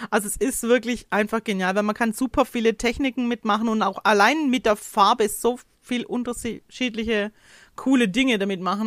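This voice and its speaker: Recorded very cleanly against a silent background with a dry, close sound and no echo, a woman with a plain, everyday voice speaks at a moderate pace and fairly high pitch with ordinary pitch variation. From Hohenlohe, Baden-Württemberg. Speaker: craft demonstrator. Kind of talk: casual chat.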